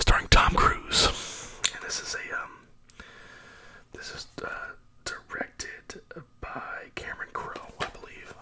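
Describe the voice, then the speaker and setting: A man whispers at a very slow pace with long, frequent pauses. His loudness swings widely over noticeable background noise. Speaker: ASMR YouTuber. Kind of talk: ASMR movie talk to camera, casual and conversational. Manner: soft-spoken, whispered.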